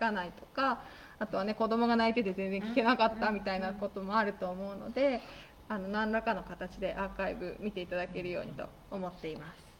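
A woman's very fast speech, with ordinary pitch variation and big swings in loudness. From Nagano, Japan. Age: 30s. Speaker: radio host. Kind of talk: casual chat. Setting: broadcast from a guesthouse-theatre venue.

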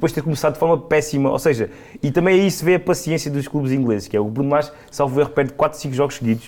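A man talks at a very fast pace. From Portugal, Alentejo (Serpa). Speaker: football pundit. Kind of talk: casual football discussion.

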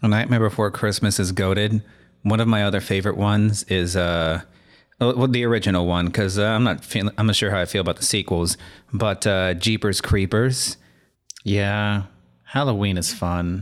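A man with an unremarkable speaking voice and fairly low pitch talks at a moderate pace with fairly even intonation and very even loudness. The recording is very clean, with a silent background. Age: 20s. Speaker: podcast co-host. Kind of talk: casual chat.

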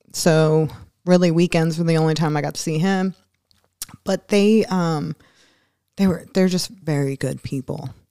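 Long, frequent pauses break up a woman's fairly low, dark, mellow voice, which moves at a moderate pace with ordinary pitch variation in a dry, close sound with no echo. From Philadelphia. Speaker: firefighter and Marine veteran. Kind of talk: casual interview. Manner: laughs often.

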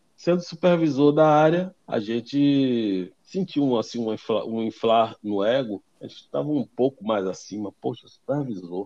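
Recorded dry and close with no echo, a man speaks at a medium pitch in a dark, mellow tone with lively intonation. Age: 50s. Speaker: auto repair shop owner. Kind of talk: interview.

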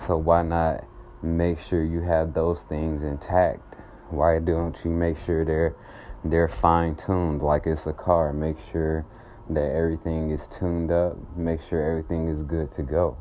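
A man with an American accent, very deep and low in pitch, dark and mellow in tone, fairly slow and monotone with flat intonation. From US South, Atlanta, Georgia. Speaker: podcast host, spiritual healer. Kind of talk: guided meditation; uplifting monologue.

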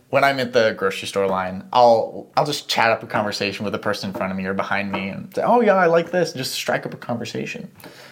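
Speaking very fast with hardly any pauses, a man uses a medium pitch and very wide pitch swings. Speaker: podcast co-host. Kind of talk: casual chat.

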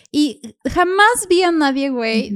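A woman speaks with a Mexican accent. Her intonation is lively. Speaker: podcast host. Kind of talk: casual chat. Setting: video call.

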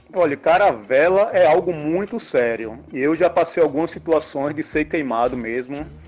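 Music in the background behind a man's fairly high voice, hardly any pauses, and ordinary pitch variation. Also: moderate pace. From Brazil, Aracaju, Sergipe. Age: 40s. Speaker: lifeguard and longboarder. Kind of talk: casual podcast interview, giving safety tips.

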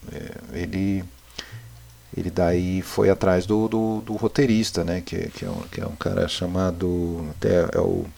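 Noticeable background noise sits behind a man speaking at a fairly slow pace. His pitch is very deep and low, with ordinary variation. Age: 40s. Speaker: film podcaster, cinephile. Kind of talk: casual chat.

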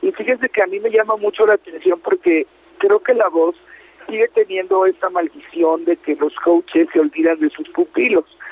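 A high-pitched man at a moderate pace with very wide pitch swings, over noticeable background noise. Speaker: entertainment radio host. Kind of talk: casual chat.

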